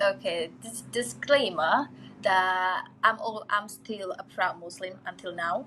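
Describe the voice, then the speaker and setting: A woman of medium pitch with an Indonesian accent, at a very slow pace, with lively intonation, a bright, sharp tone and big swings in loudness. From Indonesia, Jakarta. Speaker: interview guest. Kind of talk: casual interview chat.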